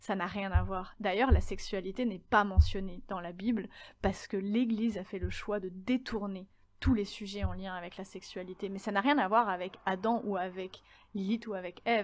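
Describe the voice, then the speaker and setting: A normal speaking voice at a moderate pace, with fairly even intonation but big swings in loudness. The recording is very clean with a silent background. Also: woman, medium pitch for a woman. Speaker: podcast host. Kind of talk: solo podcast monologue.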